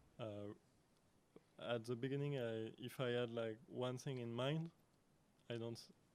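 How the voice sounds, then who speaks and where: A man with a French accent at medium pitch, fairly slow with long, frequent pauses and fairly even intonation. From France. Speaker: artist and lecturer. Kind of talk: conference Q&A answer. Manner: halting, many fillers.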